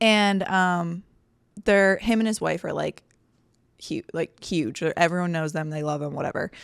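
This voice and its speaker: A woman's fairly low voice at a moderate pace, with long, frequent pauses, ordinary pitch variation, and a very clean recording over a silent background. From eastern Pennsylvania, Bethlehem near Philadelphia. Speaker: podcast co-host. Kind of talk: casual chat.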